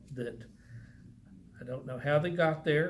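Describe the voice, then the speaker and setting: A man with a Texan accent, fairly high in pitch, with ordinary pitch variation and audible room echo. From Texas. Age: 70s. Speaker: churchgoer sharing faith story. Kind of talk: testimony. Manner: halting.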